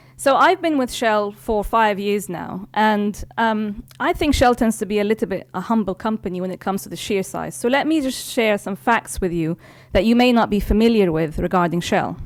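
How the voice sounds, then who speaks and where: The speaker barely pauses at all. The intonation is lively throughout. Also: woman, medium pitch for a woman, moderate pace. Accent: London. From London, England. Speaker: corporate IT executive. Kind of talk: keynote speech. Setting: stage with audience. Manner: formal.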